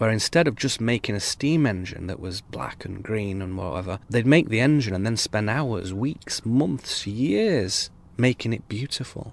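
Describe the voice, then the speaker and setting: Speaking in a normal speaking voice, a man keeps a moderate pace, a medium pitch and ordinary pitch variation. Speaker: spoken word essayist. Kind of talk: improvised spoken word essay. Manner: reflective, musing.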